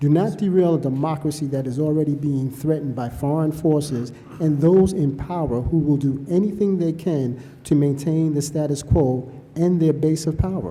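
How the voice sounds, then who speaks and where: With a New York accent, a man speaks at a fairly high pitch and moderate pace with fairly even intonation, amid audible room echo and noticeable background noise. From New York City. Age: 60s. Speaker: public commenter at hearing. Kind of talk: public testimony. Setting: public hearing.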